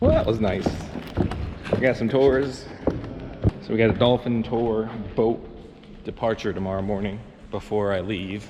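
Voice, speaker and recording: A man talks at a moderate pace and a medium pitch, with fairly even intonation and long, frequent pauses. Room echo is audible, and background noise is noticeable. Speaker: travel vlogger. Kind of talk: casual vlog narration. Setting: outdoors in rain.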